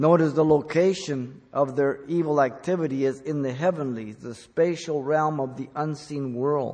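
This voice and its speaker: With fairly even intonation, the man talks at a fairly slow pace. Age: 60s. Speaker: pastor. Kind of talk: sermon. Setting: church, also broadcast on radio and internet.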